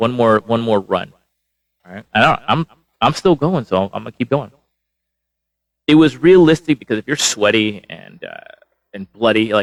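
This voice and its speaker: A man with a medium pitch speaks in an animated tone, with lively intonation and big swings in loudness. Long, frequent pauses break up his speech, and the sound is dry and close with no echo. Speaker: wrestling show reviewer. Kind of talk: live solo review. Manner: fast.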